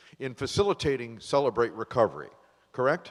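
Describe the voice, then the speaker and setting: In a very clean recording with a silent background, a man's voice sits at a medium pitch. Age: 60s. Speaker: recovery talk show host. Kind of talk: live talk show interview. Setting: studio with live audience. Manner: casual, halting.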